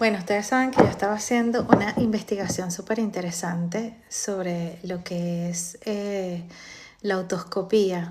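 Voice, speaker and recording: Soft-spoken and somewhat breathy, a woman talks at a fairly slow pace, her medium pitch held in fairly even intonation. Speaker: live stream host. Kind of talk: casual talk on a live stream. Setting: TikTok live stream. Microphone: too quiet at first.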